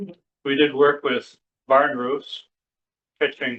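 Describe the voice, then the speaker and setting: A man with an upstate New York accent. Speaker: poet. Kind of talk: poetry reading with spoken commentary. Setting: public library reading with audience. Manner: casual, explanatory asides between poems.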